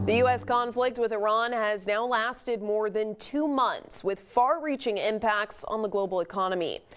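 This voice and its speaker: With a normal speaking voice, a woman speaks at a moderate pace and a fairly high pitch, using ordinary pitch variation and hardly any pauses. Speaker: TV news anchor and reporter. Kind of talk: TV news anchor delivery.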